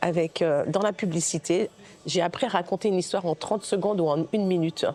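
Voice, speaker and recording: A woman with a medium-pitched voice talks at a fairly quick pace with ordinary pitch variation. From Guadeloupe, raised in mainland France from age 6. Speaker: film director. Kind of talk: interview. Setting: recorded at a film festival. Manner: halting, many hesitations and repetitions.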